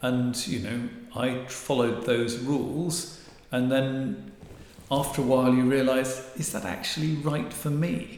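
Speaking at a fairly slow pace, a man with an English accent uses a medium pitch and ordinary pitch variation amid audible room echo and noticeable background noise. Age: 60s. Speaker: marital therapist and author. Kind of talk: interview.

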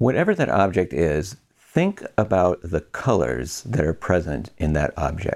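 Very deep and low, a man's voice carries vocal fry and a gentle tone with lively intonation. He talks at a fairly slow pace with very even loudness. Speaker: podcast host and meditation guide. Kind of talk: guided meditation. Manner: slow, calm, soothing; gentle, measured, with long pauses.

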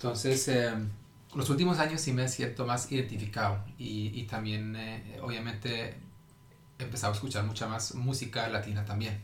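Amid noticeable background noise and audible room echo, a man speaks at a moderate pace with a medium pitch and fairly even intonation. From Norway. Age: 30s. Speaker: digital marketing specialist. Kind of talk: casual interview.

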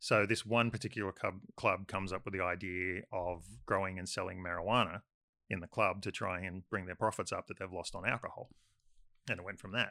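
A man with an Australian accent talks at a fairly quick pace. His voice is very deep and low, with monotone, flat intonation. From Sydney western suburbs, Australia. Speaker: filmmaker. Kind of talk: casual chat.

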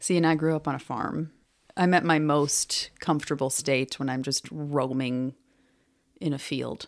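Speaking at a moderate pace with fairly even intonation, a woman with a very deep, low pitch comes through on a very clean recording with a silent background. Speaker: podcast co-host. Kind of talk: casual chat. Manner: loud.

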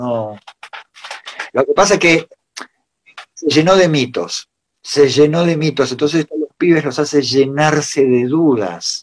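This man's voice sits fairly high, and his pitch rises and falls in an ordinary way. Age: old. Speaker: luthier and pickup maker. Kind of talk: casual chat.

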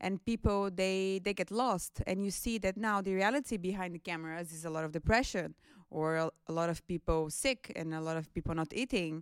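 A woman speaks at a medium pitch with a Brazilian accent, her pitch moving in an ordinary way at a fairly quick pace. The recording is very clean with a silent background and a dry, close sound with no echo. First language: Portuguese. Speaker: international office staff. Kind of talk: panel discussion.

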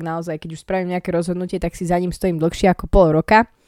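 A woman talks at a very fast pace with medium pitch and a dark, mellow tone. The sound is dry and close with no echo, on a very clean recording with a silent background. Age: 20s. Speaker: podcaster. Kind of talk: casual monologue. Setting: at home, in a room.

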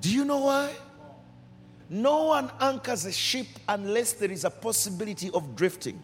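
A man's high, passionate voice with very wide pitch swings and long, frequent pauses, over noticeable background noise. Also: moderate pace. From Uganda. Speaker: pastor. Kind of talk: sermon. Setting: church service.

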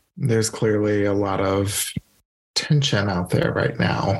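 A somewhat breathy man with an American accent talks at a fairly slow pace. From Louisiana, US South. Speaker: podcast host and yoga teacher. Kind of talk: casual chat.

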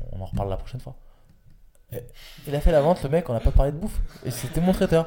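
A somewhat breathy man in a dark, mellow tone, with very wide pitch swings. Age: 30s. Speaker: entrepreneur and podcast host. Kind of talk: casual interview.

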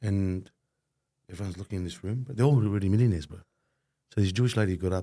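A man's fairly low, dark and mellow voice, very fast, with ordinary pitch variation, big swings in loudness, and long, frequent pauses. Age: 40s. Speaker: podcast co-host. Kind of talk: casual interview chat.

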